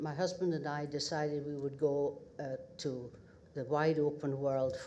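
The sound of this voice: In a northeast Scottish accent, a woman with an extremely low, slightly mellow voice speaks at a moderate pace with fairly even intonation.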